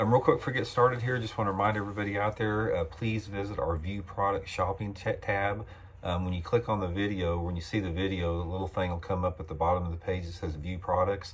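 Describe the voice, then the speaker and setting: A man talks at a very fast pace with hardly any pauses. His voice sits fairly low and his intonation stays fairly even. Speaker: fishing channel host. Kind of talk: casual vlog chat. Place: home room. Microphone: phone near.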